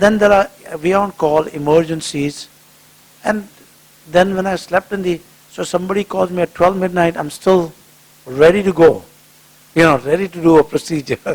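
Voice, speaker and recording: Against noticeable background noise, a man talks at a moderate pace in a high voice with fairly even intonation and long, frequent pauses. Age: 60s. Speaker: cardiologist. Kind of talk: public talk with Q&A. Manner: conversational.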